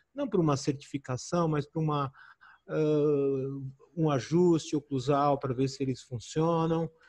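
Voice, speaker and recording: Somewhat breathy, a man talks at a fairly slow pace with a fairly high pitch. His tone is dark and mellow, and his pitch varies in an ordinary way. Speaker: medical physics expert. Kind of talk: webinar Q&A.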